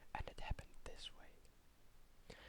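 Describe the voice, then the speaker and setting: A man whispering in a soothing tone. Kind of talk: whispered story reading. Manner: whispered, soft, soothing.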